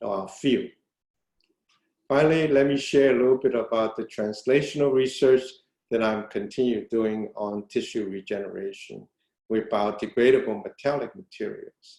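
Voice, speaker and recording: This man speaks at a medium pitch and a moderate pace. His tone is dark and mellow, with ordinary pitch variation. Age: 70s. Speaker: retired professor of bioengineering. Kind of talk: webinar lecture.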